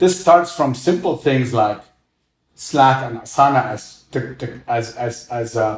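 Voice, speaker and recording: A man with an Arabic accent speaks at a fairly slow pace and a medium pitch. His voice is somewhat breathy, with ordinary pitch variation. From Egypt, Cairo. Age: 40s. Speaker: restaurant co-founder and former finance executive. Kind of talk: interview, casual conversation.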